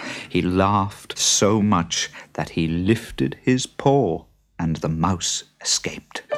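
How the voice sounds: Lively intonation in a natural reading voice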